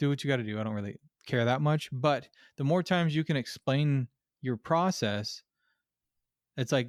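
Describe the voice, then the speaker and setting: Recorded dry and close with no echo, a man with a Californian accent talks at a fairly quick pace in a fairly high voice. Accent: California. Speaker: podcast host and auto repair shop owner. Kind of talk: casual interview chat. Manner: abrupt, blunt; halting, many repetitions and fillers.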